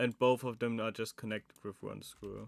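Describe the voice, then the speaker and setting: Monotone, flat intonation with a German accent, on a very clean recording with a silent background. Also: man. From Germany, Saxony. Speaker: animatronics maker streamer. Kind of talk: live stream chat while building. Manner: casual, thinking aloud.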